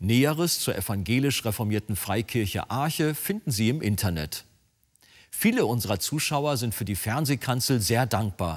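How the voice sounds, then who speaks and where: A man's normal speaking voice at medium pitch, lively in intonation, moderate in pace, on a very clean recording with a silent background. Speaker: TV show presenter. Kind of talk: broadcast intro and outro announcements.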